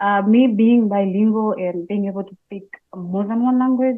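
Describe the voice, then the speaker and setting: A woman with an East African accent speaks at a moderate pace, in a medium pitch with fairly even intonation. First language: Swahili. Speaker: Swahili instructor. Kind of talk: interview.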